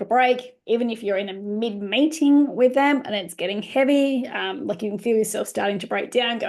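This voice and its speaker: A woman speaks fairly quickly at a fairly high pitch with ordinary pitch variation. The background is quiet. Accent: Australian. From Australia, Queensland supporter born in New South Wales. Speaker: family lawyer and webinar presenter. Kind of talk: webinar presentation. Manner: fast; casual, filler-heavy.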